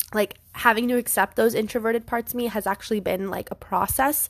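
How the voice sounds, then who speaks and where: A woman with a fairly high pitch and a plain, everyday voice, talking at a moderate pace. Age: 20s. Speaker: podcast host. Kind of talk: solo casual monologue. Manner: casual, lots of filler words.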